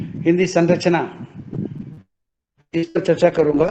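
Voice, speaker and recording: This is a man's voice. It is high-pitched. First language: Tamil (speaking Hindi). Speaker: professor of Hindi grammar. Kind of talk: formal course introduction. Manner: hesitant, with fillers.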